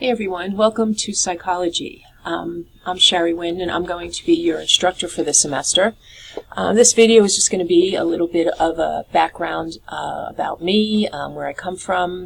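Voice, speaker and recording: Background noise is noticeable behind a woman talking. She has an American accent and keeps a moderate pace. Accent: New York accent, at times. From New York City. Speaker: college instructor. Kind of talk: course introduction video. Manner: casual, many filler words.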